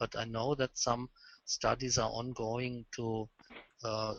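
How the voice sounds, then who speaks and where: Very slowly and in a flat monotone, a man with a German accent talks at a medium pitch. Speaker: lighting expert presenter. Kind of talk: webinar presentation Q&A. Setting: phone call. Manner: halting.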